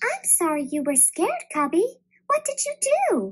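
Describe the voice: This put-on character voice sits at an extremely high pitch and makes very wide pitch swings. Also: moderate pace.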